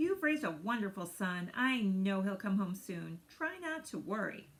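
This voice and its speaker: Using a put-on character voice, a woman speaks at a moderate pace with very wide pitch swings. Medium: read story. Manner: warm, reassuring.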